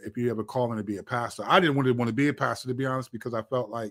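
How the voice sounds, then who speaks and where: The recording is very clean, and the background is silent. A man talks at a medium pitch. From Washington DC area, Maryland. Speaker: pastor and rapper. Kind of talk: interview testimony.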